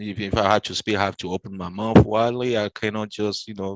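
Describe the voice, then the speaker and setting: A man with a non-native accent talks at a fairly quick pace in a fairly low pitch and fairly even intonation, the sound dry and close with no echo. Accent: foreign. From French-speaking country. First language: French. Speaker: YouTube interviewer. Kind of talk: interview. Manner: hesitant, many fillers.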